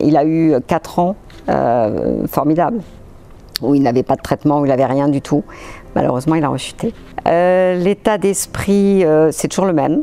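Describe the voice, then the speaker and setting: The speaker moves at a moderate pace with lively intonation and very even loudness, stopping for long, frequent pauses. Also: woman, very deep, low pitch for a woman. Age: 60s. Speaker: patient's spouse and amateur athlete. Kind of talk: testimony. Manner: halting, many hesitations.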